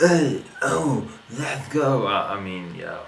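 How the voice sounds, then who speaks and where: Amid noticeable background noise and audible room echo, a man speaks with a non-native accent. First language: not English. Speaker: YouTube reaction video host. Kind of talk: casual video reaction commentary. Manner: halting, many fillers and restarts.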